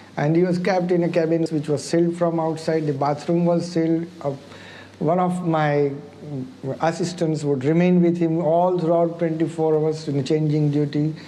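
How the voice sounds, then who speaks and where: A man speaks at a high pitch with fairly even intonation and very even loudness. Noticeable background noise and audible room echo fill the recording. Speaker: doctor. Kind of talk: interview. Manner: halting.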